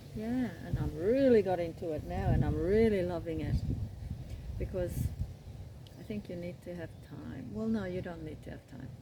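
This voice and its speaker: An Australian accent comes through in a relaxed tone with long, frequent pauses. Noticeable background noise and audible room echo are present. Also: woman. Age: 70s. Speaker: crochet vlogger. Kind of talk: casual chat. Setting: outdoors. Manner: relaxed, unhurried.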